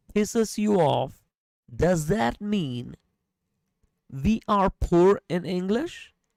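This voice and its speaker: Very slowly and with lively intonation, a woman speaks at a fairly low pitch in a dry, close recording with no echo. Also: very clean recording, silent background. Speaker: podcast host. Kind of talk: casual chat. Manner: animated.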